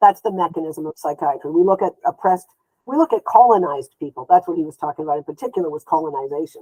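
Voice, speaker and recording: At a very fast pace, a woman speaks in a fairly low voice with a dark, mellow tone, ordinary pitch variation and big swings in loudness, the sound dry and close with no echo. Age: 60s. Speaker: therapist and social justice activist. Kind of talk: interview.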